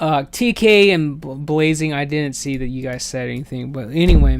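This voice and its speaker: Noticeable background noise behind a man's fairly high voice, with ordinary pitch variation at a moderate pace. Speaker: video game streamer. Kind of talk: casual chat. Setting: live stream. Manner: halting. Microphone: voice echoing, no headphones.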